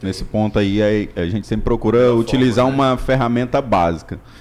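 A man speaks at a very fast pace. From Imperatriz, Maranhão, Brazil. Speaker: mechanical engineer and business consultant. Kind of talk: casual chat.

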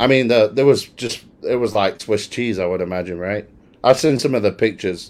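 A man with a British accent talks at a fairly quick pace in a fairly low pitch, with an animated tone and ordinary pitch variation. The recording is very clean, with a silent background. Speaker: podcast host. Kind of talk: casual banter podcast. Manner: joking, animated.

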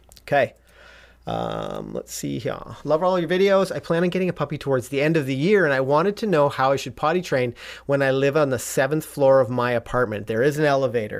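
Speaking with a Canadian accent, a man uses an ordinary speaking voice at a fairly high pitch, with ordinary pitch variation and a fairly quick pace. The recording is very clean, with a silent background. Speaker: dog trainer host. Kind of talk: live-stream chat about puppy training. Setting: live stream, home studio.

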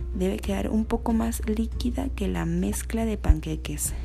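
Monotone, flat intonation comes at a fairly slow pace, with audible room echo and noticeable background noise. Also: woman. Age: 20s. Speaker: student content creator. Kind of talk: scripted narration.

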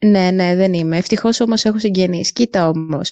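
A woman's unremarkable speaking voice at medium pitch, with ordinary pitch variation. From Greece. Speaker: student traveler. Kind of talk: interview.

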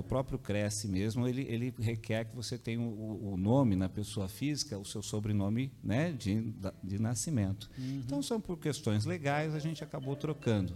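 Dark, mellow male voice with lively intonation at a moderate pace. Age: 50s. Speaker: businessman. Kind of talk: interview. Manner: halting.

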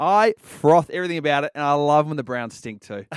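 An animated man with an Australian accent, fairly high pitch and a very fast pace, in a very clean recording with a silent background and a dry, close sound with no echo. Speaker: podcast co-host. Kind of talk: casual sports chat.

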